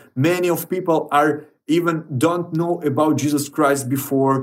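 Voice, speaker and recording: A man with a Ukrainian accent, his pitch fairly high and his pace fairly slow. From Ukraine. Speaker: radio broadcaster. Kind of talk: recorded video message. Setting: bomb shelter.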